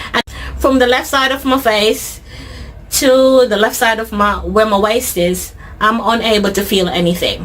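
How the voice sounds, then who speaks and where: Against noticeable background noise, a woman speaks with a British accent. Her voice is fairly high, with ordinary pitch variation and a moderate pace. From Jamaica. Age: 30s. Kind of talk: interview answer.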